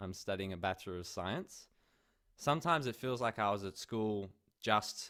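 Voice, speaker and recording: The voice has an Australian accent and ordinary pitch variation. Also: man. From Australia, Melbourne. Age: 20s. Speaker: conference speaker, university student. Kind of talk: online conference talk. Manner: casual, many filler words.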